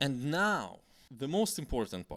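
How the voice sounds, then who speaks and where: A man with a Slavic accent speaks at a fairly high pitch with very wide pitch swings. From Slavic country. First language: Slavic language. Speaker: YouTuber. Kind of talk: vlog monologue. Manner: halting.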